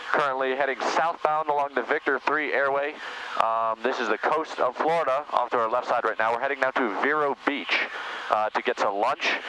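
Ordinary pitch variation marks a man speaking at a fairly quick pace. The sound is dry with no echo, over light background noise. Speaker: pilot vlogger. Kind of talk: casual vlog chat. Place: plane. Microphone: headset.

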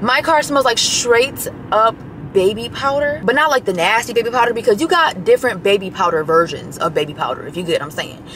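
A woman talks at a fairly quick pace with very wide pitch swings, in a dry sound with no echo and light background noise. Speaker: vlogger. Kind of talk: casual vlog chat. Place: car. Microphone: phone near.

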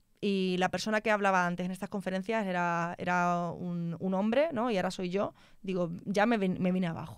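Against a quiet background, a woman with a medium pitch talks at a fairly quick pace in a dry sound with no echo. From Spain, Extremadura (Mérida); Extremadura, Spain. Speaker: telecom engineer; guest. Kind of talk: interview conversation. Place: studio. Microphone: studio mic.

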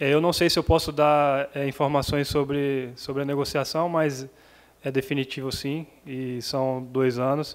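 At a fairly slow pace, a man with a fairly high pitch speaks in a monotone, flat intonation. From Brazil. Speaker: professional footballer. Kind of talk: press interview. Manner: halting. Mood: happy, calm. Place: meeting room. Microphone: podium.

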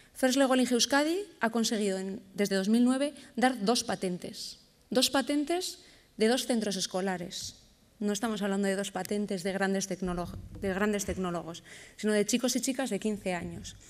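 Her pitch varies in an ordinary way as a woman speaks fairly slowly. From Bilbao, Basque Country, Spain. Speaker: educational robotics program organizer. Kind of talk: conference presentation. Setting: stage with audience at a conference. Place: stage. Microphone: podium.

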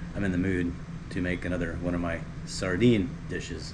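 Over noticeable background noise, a man with a very deep, low pitch talks at a moderate pace with fairly even intonation. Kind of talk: cooking tutorial chat. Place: kitchen. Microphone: camera far.

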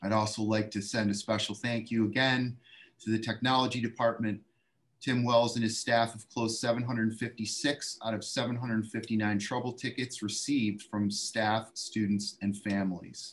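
At a fairly slow pace, a man talks with monotone, flat intonation. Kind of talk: meeting report. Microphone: video call.

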